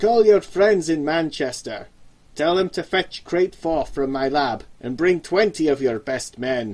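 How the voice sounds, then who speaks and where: A man puts on a character voice, fairly high-pitched for a man, with lively intonation, a slight Scottish accent and cackling at a fairly slow pace. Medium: read story. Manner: calm, sly, cackling.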